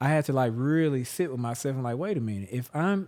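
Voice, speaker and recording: This man speaks with a Southern US accent, his pitch fairly high and his intonation lively. The recording is very clean, with a silent background. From Jackson, Mississippi. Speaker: musician and performer. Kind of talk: interview answer. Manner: casual, reflective.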